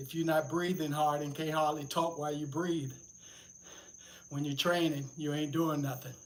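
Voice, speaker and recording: A man with a fairly high pitch talks at a moderate pace in a monotone, flat intonation, taking long, frequent pauses, with audible room echo. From US South, Atlanta, Georgia. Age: 70s. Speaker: fitness livestreamer. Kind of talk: livestream workout chat. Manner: casual.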